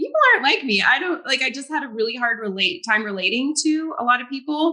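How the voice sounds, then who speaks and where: A woman's raised, projected voice, high-pitched, with an American accent, lively intonation and a very fast pace. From France, then United States from age five. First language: French. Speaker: psychic. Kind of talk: interview.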